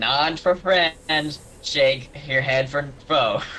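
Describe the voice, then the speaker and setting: A man puts on a character voice at a fairly high pitch and a very slow pace. Clear background noise can be heard. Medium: actual play.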